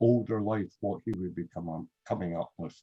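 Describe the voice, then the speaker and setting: A dark, mellow tone carries a Glasgow accent with ordinary pitch variation. The sound is dry and close, with no echo. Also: man. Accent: Scottish (Glasgow). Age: 60s. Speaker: photographer. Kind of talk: panel discussion.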